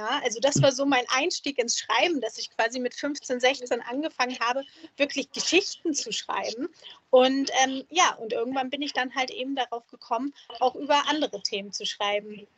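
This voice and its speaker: A high-pitched woman at a moderate pace with ordinary pitch variation. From Germany, small town. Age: 30s. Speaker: columnist. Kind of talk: interview.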